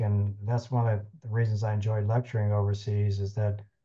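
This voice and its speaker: This man has an American accent and a medium pitch. His tone is dark and mellow, and somewhat breathy. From US West Coast (Sacramento, California). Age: 60s. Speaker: podiatrist, biomechanics expert and lecturer. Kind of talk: interview conversation. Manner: halting with fillers.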